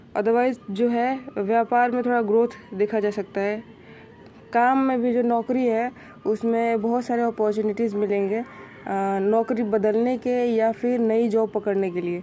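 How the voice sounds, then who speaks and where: A woman's fairly high voice, monotone and flat in intonation, with noticeable background noise. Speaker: astrologer. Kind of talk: monthly horoscope talk. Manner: halting, many fillers; soft-spoken.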